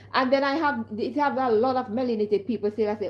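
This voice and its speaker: The delivery keeps a moderate pace. Its pitch varies in an ordinary way. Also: woman. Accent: Jamaican. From Caribbean. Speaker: vlogger. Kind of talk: casual monologue vlog. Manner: animated.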